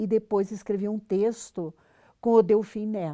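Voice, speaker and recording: Here a woman's voice is fairly high and has a dark, mellow tone. Her pitch varies in an ordinary way. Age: 70s. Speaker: veteran journalist and professor. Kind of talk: interview.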